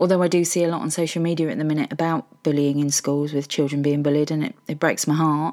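Over a silent background in a very clean recording, a woman with a very deep, low pitch and a dark, mellow tone talks at a very fast pace with hardly any pauses and fairly even intonation. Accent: southern English. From Hertfordshire, England. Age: 50s. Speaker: podcaster. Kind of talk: personal monologue.

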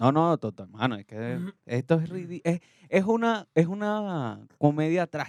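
At a very slow pace, a man with a fairly high pitch makes very wide pitch swings and big swings in loudness, captured in a dry, close sound with no echo. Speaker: podcast co-host. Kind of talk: casual chat.

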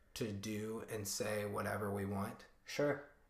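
A man speaks at medium pitch. Room echo is audible. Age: 20s. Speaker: startup worker. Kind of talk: casual chat.

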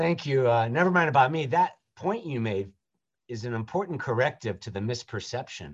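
With an American accent, a man talks in a normal speaking voice at a fairly quick pace with lively intonation against a quiet background. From US South, Jacksonville, Florida. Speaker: rabbi. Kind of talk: interview.

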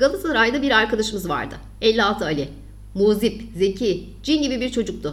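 This is someone reading aloud in a natural voice.

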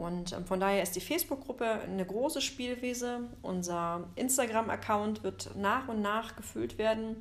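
A woman with a plain, everyday voice, fairly high in pitch, at a fairly slow pace with hardly any pauses and ordinary pitch variation. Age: 40s. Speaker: photographer and podcast co-host. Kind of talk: casual chat. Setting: recording together in Zwickau.

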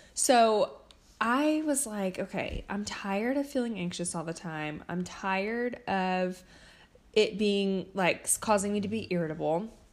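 Speaking at a fairly slow pace, a woman uses an ordinary speaking voice, medium in pitch, with lively intonation. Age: 20s. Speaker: podcast host and therapist. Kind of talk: casual solo talk. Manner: conversational with many fillers.

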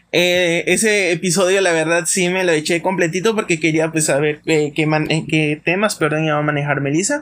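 At a moderate pace, a man with a high pitch speaks with fairly even intonation and very even loudness. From Mexico, Campeche. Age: 20s. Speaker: podcast host, psychologist. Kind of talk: casual monologue. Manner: hesitant, many fillers.

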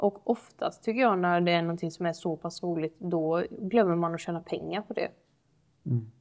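Heard on a very clean recording with a silent background, an unremarkable speaking voice moves at a moderate pace with fairly even intonation. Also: woman. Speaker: podcast co-host. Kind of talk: casual chat.

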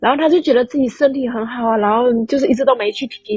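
Fairly quick speech from a woman at a fairly high pitch, its pitch variation ordinary. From Fujian, China (Quanzhou). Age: 30s. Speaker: caller. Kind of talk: personal testimony.

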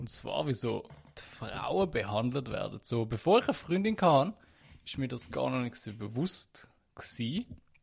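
A man's voice with vocal fry, very wide pitch swings and big swings in loudness, at a fairly slow pace. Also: medium pitch for a man, quiet background. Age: 20s. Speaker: podcast co-host. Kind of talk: casual chat.

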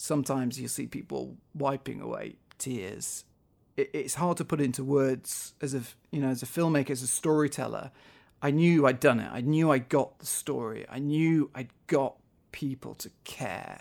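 In a very clean recording with a silent background, a man talks with fairly even intonation and big swings in loudness. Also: fairly high pitch for a man, moderate pace. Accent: Manchester. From northwest England, near Manchester. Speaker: documentary photographer and filmmaker. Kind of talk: interview. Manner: halting, frequent repetitions.

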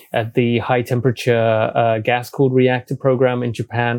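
In a British accent, a man talks at a moderate pace with monotone, flat intonation and a medium pitch, the sound dry and close with no echo. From UK. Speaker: energy analyst and journalist. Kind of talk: interview.

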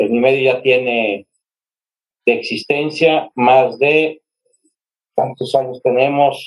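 With long, frequent pauses, a man speaks at a very slow pace and a medium pitch, with ordinary pitch variation. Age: 50s. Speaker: journalist. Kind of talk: interview.

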